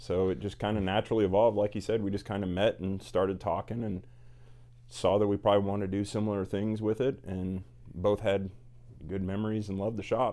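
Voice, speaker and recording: In a normal speaking voice, an American-accented man talks fairly quickly with a fairly low pitch and fairly even intonation. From Indiana. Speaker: cigar shop owner. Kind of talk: casual interview. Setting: cigar shop.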